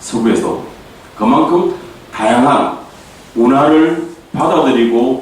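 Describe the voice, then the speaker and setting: Amid noticeable background noise and audible room echo, a man with a medium pitch speaks at a very slow pace. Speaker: politician giving policy presentation. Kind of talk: policy debate presentation.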